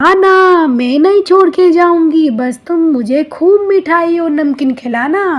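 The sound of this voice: A woman's cartoonish character voice at an extremely high pitch, fairly slow pace and hardly any pauses.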